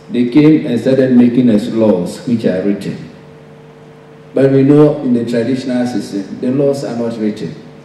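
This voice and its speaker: Pitch varies in an ordinary way at a moderate pace. Audible room echo and light background noise are present. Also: man, medium pitch for a man. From Ghana. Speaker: professor. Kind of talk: conference speech. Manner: formal. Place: hall. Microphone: podium.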